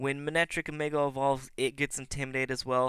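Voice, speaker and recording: A bright, sharp tone at a fairly quick pace on a very clean recording with a silent background. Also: man. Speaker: Pokemon commentator (auditioning). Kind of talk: live game commentary.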